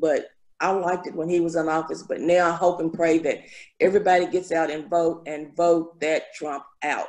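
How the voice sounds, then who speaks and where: A woman speaks at a fairly low pitch in a flat, monotone delivery. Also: moderate pace, quiet background. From Danville, Kentucky; Kentucky. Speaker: community member sharing memories. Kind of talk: casual group conversation. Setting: video call. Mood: warm, reminiscing. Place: home room. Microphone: video call.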